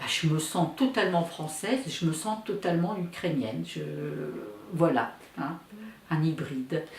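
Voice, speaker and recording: Noticeable background noise and audible room echo surround a woman's voice. She speaks at a fairly slow pace with a fairly low pitch. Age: 70s. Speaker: daughter of Ukrainian immigrants, witness. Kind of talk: testimony. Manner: hesitant, with fillers.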